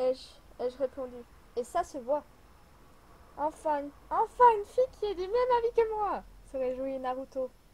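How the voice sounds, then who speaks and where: Over noticeable background noise, the speaker moves at a moderate pace, with very wide pitch swings and long, frequent pauses. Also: woman, high pitch for a woman. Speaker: amateur writer. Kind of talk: reading own story aloud. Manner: soft-spoken.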